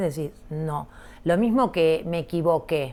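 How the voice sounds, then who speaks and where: Lively intonation marks a woman's fairly low-pitched voice. The recording is very clean, with a silent background. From Argentina, Rosario. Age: 60s. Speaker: visual artist. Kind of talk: interview conversation. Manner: halting, many fillers.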